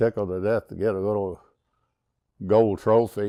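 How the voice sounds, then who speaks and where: A man speaks slowly-ish, at a fairly slow pace, in a dark, mellow tone with a fairly low pitch and fairly even intonation. The recording is very clean with a silent background. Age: 70s. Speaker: long-time saddle club member, trail rider. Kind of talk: interview reminiscence. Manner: halting, with fillers.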